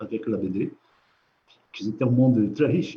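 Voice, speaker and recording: Somewhat breathy with a dark, mellow tone, a man with a Portuguese accent speaks at a moderate pace. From Brazil (São Paulo). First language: Portuguese (speaking French). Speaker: comic book artist. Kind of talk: interview. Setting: live stream from an art gallery. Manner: halting.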